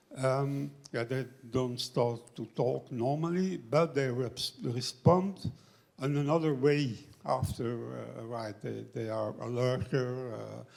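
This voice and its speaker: A man talks with a non-native accent at a medium pitch. His loudness swings widely. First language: not English. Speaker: audience member. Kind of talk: audience question. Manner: halting.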